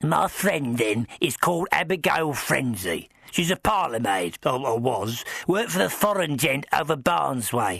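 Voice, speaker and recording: This put-on character voice sounds croaky and moves at a moderate pace. Its pitch swings very widely. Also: man, medium pitch for a man. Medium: audio drama. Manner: rambling, deferential, dropped grammar.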